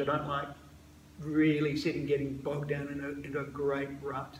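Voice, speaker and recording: Noticeable background noise and audible room echo surround a man talking at a moderate pace. His voice is fairly high-pitched, with monotone, flat intonation. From Scotland. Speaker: emergency doctor. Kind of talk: casual interview. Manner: halting, repeated words.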